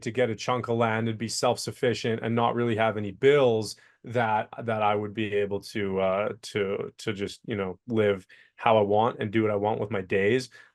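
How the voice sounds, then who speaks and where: A man's medium-pitched voice at a fairly slow pace, with a slight Canadian accent. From Canada, BC, near Vancouver. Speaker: entrepreneur. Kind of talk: interview. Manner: halting, repeats words.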